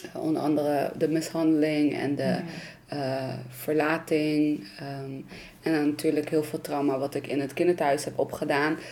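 Noticeable background noise runs through the clip. The talking is very slow. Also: woman. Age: 20s. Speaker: youth psychiatry worker. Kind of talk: personal testimony.

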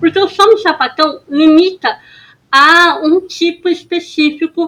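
In a bright, sharp tone, a woman speaks very slowly at a high pitch. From São Paulo city, Brazil. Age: 20s. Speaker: podcast co-host. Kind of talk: casual chat.

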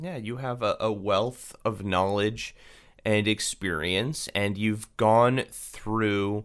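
Talking at a very slow pace, a man uses a fairly low pitch with ordinary pitch variation. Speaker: podcast host. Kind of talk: interview and scripted narration.

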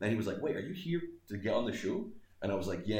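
A man with a West Coast Scottish accent, at a very fast pace. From Scotland; Greenock, west coast of Scotland. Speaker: comedian. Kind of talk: casual interview chat. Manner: joking, self-deprecating.

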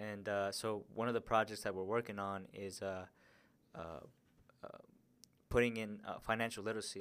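A fairly low-pitched man in an American accent, flat and monotone, at a fairly quick pace. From Denver, Colorado. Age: 20s. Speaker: realtor. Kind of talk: casual chat.

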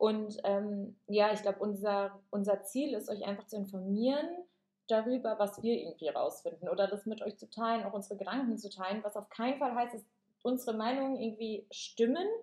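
This woman has an unremarkable speaking voice, fairly high in pitch, with fairly even intonation. She talks at a fairly quick pace. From Germany. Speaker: podcast co-host, yoga teacher. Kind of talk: casual chat.

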